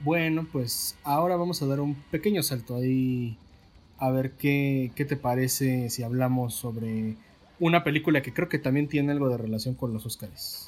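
A man with a Mexican accent talks at a medium pitch. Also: ordinary pitch variation, moderate pace. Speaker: podcast host, film reviewer. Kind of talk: casual chat.

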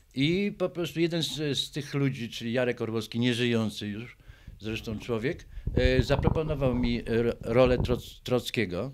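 Moderately paced male speech, medium in pitch, with ordinary pitch variation. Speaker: artist. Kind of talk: interview. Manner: halting.

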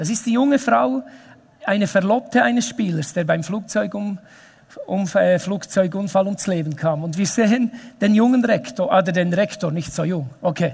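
A high-pitched man at a moderate pace, his intonation lively. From Switzerland, Emmental (Bern). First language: Bernese Swiss German (speaking German). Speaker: pastor. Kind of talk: sermon.

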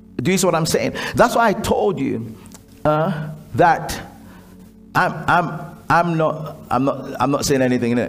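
A man's animated tone and lively intonation at a fairly slow pace, with long, frequent pauses and noticeable background noise. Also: fairly high pitch for a man. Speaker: preacher leading a prayer school. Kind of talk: fervent prayer and exhortation, leading the congregation in prayer. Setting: church gathering with a live congregation. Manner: loud, urgent, rhythmic repetition, call-and-response; animated, commanding, exhorting the room.

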